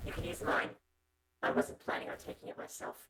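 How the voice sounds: Put-on character voice, raspy, at a moderate tempo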